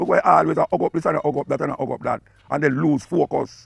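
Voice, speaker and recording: A man with a Jamaican accent talks at a very fast pace. The sound is dry and close with no echo, with music in the background. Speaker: dub poet and radio talk-show host. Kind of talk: spoken lecture on culture and history.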